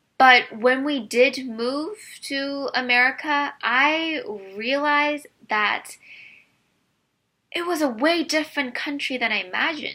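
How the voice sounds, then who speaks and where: A woman's high, raised and projected voice in a Korean accent, bright and sharp in tone, at a fairly slow pace with long, frequent pauses, on a very clean recording with a silent background. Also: ordinary pitch variation. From South Korea, moved to US at 10. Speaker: immigrant sharing personal story. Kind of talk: personal testimony.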